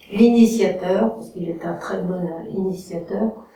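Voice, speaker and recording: A woman speaks at a fairly slow pace with fairly even intonation. Audible room echo and noticeable background noise are present. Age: 60s. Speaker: photography course student. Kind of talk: testimonial. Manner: hesitant, many fillers.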